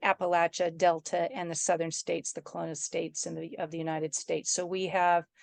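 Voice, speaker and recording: Delivered at a fairly quick pace, the speech has a dry, close sound with no echo against a quiet background. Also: woman. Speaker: regional development commission director. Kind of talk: online meeting presentation. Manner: fast; casual.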